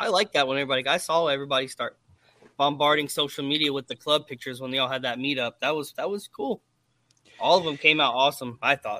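Talking at a very fast pace, a man with a fairly high pitch and an American accent uses ordinary pitch variation. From US South, Atlanta. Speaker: army veteran. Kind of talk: casual chat.

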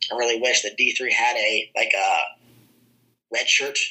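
In an American accent, the words come at a moderate pace. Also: man. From southern Iowa. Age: 30s. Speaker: wrestling coach and teacher. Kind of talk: casual interview chat.

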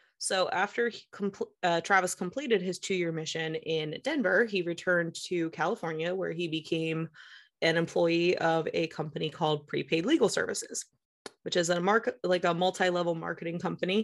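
Against a quiet background, a woman with a plain, everyday voice speaks at a moderate pace, fairly low in pitch with ordinary pitch variation. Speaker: podcast host. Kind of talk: casual chat.

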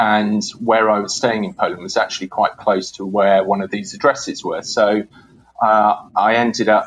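With a British accent, a man talks at a moderate pace in a flat, monotone way. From UK. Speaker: historian. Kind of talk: interview. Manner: halting, many fillers.

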